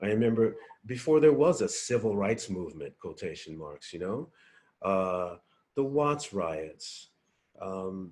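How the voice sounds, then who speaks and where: A man at a fairly slow pace, with very wide pitch swings, big swings in loudness and long, frequent pauses. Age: 60s. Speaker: musician. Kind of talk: interview. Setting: video call. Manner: halting.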